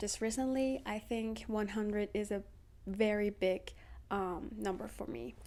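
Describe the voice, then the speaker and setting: A Persian accent at a fairly slow pace. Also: woman. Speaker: social media creator. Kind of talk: casual vlog talk to camera. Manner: hesitant, many fillers.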